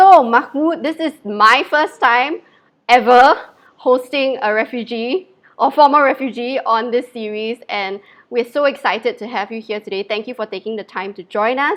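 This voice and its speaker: At a moderate pace, a woman with a Mandarin accent speaks at a high pitch, her intonation lively and her loudness swinging widely, against a quiet background. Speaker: livestream host. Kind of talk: live interview.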